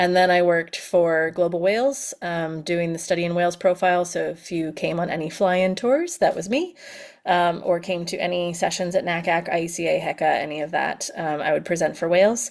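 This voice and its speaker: Fairly quick and with hardly any pauses, a woman talks in an ordinary speaking voice, fairly low in pitch with fairly even intonation. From US, Pennsylvania. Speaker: education consultant. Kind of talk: webinar presentation. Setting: video call webinar. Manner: casual, filler-heavy.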